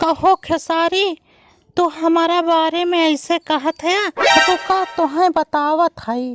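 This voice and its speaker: In a cartoonish character voice, a woman talks at a very slow pace with extremely high pitch and fairly even intonation, the sound dry and close with no echo. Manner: scolding, bossy.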